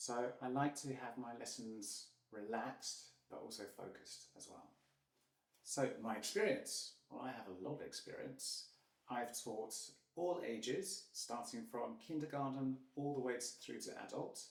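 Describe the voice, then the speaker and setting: The speaker, in a British accent, talks at a fairly slow pace with big swings in loudness. Room echo is audible. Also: man. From UK. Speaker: English teacher. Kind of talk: self-introduction. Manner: hesitant.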